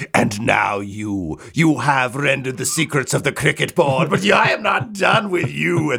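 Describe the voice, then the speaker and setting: A man's put-on character voice at medium pitch, moderately paced with hardly any pauses, over light background noise. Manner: vicious, threatening.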